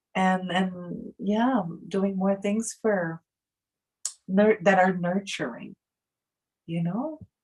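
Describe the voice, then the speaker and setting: At a very slow pace, a woman talks with long, frequent pauses. Her medium-pitched voice is somewhat breathy, with ordinary pitch variation. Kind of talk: casual chat.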